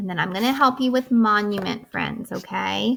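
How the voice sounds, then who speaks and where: A woman talks in an ordinary speaking voice, pitched fairly high. Her pitch varies in an ordinary way. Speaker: kindergarten teacher. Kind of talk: online lesson tutorial for young children.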